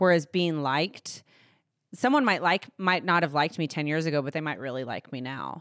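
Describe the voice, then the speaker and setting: A woman with a Texan accent speaks at a very deep, low pitch. She talks at a fairly quick pace, with ordinary pitch variation. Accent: Texan American. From Texas, Fort Worth. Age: 30s. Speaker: lifestyle blogger. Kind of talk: interview. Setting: studio.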